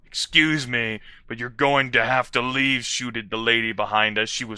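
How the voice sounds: This is a natural reading voice. The delivery stays a natural reading voice throughout.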